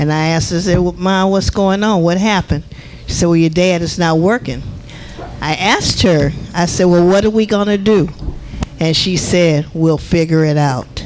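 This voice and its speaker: Noticeable background noise sits under talking that proceeds at a moderate speed. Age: 70s. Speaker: resident speaking at public comment. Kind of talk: public comment at village meeting.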